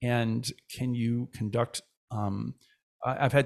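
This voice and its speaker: There is a very clean recording with a silent background, where a man in an ordinary speaking voice holds a medium pitch and fairly even intonation. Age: 50s. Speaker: choir director and music educator. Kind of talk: casual chat.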